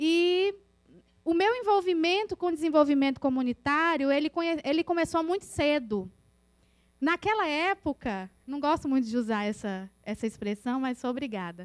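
A woman speaks with a Minas Gerais accent, her pitch high and swinging very widely. She talks at a moderate pace against a quiet background. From northern Minas Gerais, Brazil. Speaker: community development worker; presenter. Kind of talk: presentation. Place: classroom.

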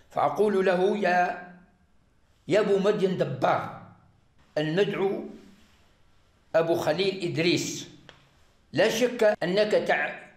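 A man's high voice at a very slow pace, with long, frequent pauses, ordinary pitch variation, very even loudness, audible room echo and a quiet background. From Algeria. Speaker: arrested militant giving confession. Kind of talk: recorded confession. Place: home room. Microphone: lapel.

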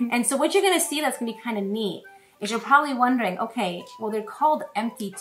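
A woman speaks over faint music in the background. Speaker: presenter. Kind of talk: cooking demo with Bible lesson for kids. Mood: warm, encouraging. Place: kitchen.

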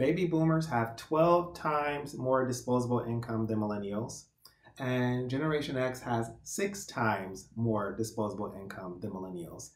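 In a room with audible echo but a quiet background, a man is speaking. His pace is moderate. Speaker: podcast guest. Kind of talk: interview answer. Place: home room. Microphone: webcam.

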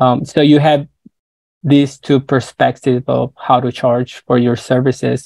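A man with a Spanish accent in monotone, flat intonation at a fairly slow pace over a quiet background. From northern Mexico, Nogales, Sonora; Sonora, Mexico. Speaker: creative consultant and designer; guest. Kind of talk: interview. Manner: halting, many fillers. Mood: friendly, relaxed. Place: home room. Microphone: earbuds.

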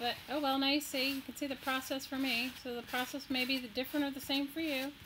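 In an American accent, a woman with a high, bright, sharp voice projects loudly at a very fast pace in a flat monotone. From Texas, near Galveston. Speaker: crafting YouTuber. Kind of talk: live stream craft tutorial and chat. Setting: live stream at home desk. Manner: casual, chatty.

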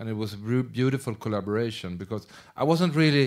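A man with a Swedish accent speaks at a moderate pace against a quiet background. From Sweden. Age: middle-aged. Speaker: film director. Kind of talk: Q&A after a screening. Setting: stage with audience. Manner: halting. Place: stage. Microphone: handheld.

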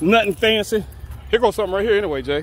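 A man speaks at a fast pace. His pitch is high, with ordinary pitch variation.

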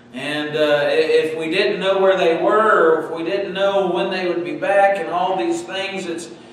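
Strong room echo and light background noise accompany a man who speaks at a fairly slow pace in a high pitch with ordinary pitch variation. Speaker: pastor. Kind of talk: sermon. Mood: warm, earnest. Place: church. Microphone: podium.

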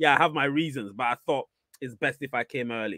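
A man speaks in a bright, sharp tone. The sound is dry with no echo, over a quiet background. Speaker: live stream host. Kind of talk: casual livestream chat, reading viewer comments. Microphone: studio mic.

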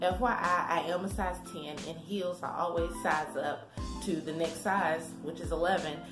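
With clear music in the background, a woman talks in a fairly low pitch. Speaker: thrift haul vlogger. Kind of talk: casual vlog chat. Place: home room. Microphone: phone near.

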